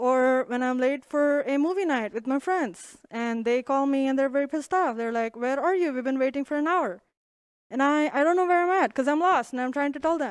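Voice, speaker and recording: A woman's high voice in an Indian accent, with ordinary pitch variation and a fairly quick pace, on a very clean recording with a silent background. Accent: Indian English, noticeable. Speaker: comedian. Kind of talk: stand-up. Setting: stage with audience.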